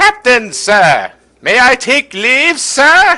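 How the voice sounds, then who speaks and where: A man puts on a character voice with an extremely high pitch, speaking at a very slow pace. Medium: game stream. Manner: dutiful, clipped.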